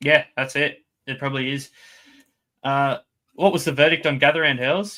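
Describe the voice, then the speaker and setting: Here a man talks with an Australian accent. His pitch is fairly high. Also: fairly even intonation, moderate pace. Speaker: fantasy sports podcast co-host. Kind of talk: casual chat.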